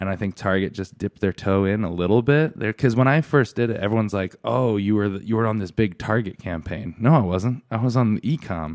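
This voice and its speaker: Against a quiet background, a man with an American accent and an unremarkable speaking voice talks at a fairly quick pace with hardly any pauses, his fairly low pitch showing ordinary variation. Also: dry, close sound with no echo. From US Northeast, Connecticut. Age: 30s. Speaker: plus size model. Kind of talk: casual chat.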